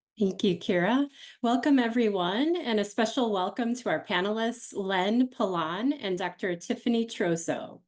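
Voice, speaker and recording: A woman speaks at a moderate pace with fairly high pitch and lively intonation. It is an ordinary speaking voice. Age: 40s. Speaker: panel moderator. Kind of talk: panel interview. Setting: home office.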